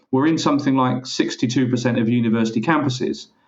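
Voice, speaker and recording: Fairly quick speech from a man at a medium pitch. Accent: English. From England. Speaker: parcel locker industry expert, co-host. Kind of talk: business podcast discussion.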